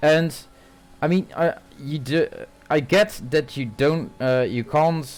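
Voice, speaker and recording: With a Dutch accent, a man talks at a fairly slow pace in a fairly high pitch, using lively intonation and long, frequent pauses. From Netherlands. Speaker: sim racing commentator. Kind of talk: live commentary.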